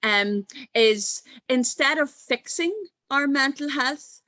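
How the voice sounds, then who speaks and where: A woman with an Irish accent speaks at a very slow pace in a bright, sharp tone. Her pitch swings very widely, and the sound is dry and close with no echo. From Ireland. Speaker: mental health coach and speaker. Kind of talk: conference talk.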